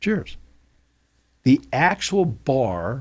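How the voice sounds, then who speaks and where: Speaking at a medium pitch, a man uses vocal fry and very wide pitch swings. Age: 60s. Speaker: sports radio host and play-by-play broadcaster. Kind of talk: casual chat. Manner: animated.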